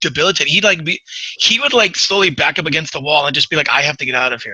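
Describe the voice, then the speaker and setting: This man talks at a very fast pace. His tone is animated. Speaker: podcast host. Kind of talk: casual chat.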